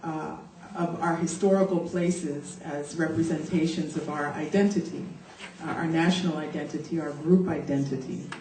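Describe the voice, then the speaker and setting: A woman with an American accent, fairly low and monotone, at a moderate pace with audible room echo. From United States. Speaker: activist. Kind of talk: conference talk. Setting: conference panel, seated.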